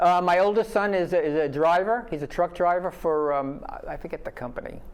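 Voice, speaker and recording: A man with a high pitch and a New York accent talks at a fairly quick pace with ordinary pitch variation. Noticeable background noise can be heard. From New York City (Brooklyn). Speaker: retired army officer, retirement community resident. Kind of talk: interview. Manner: halting.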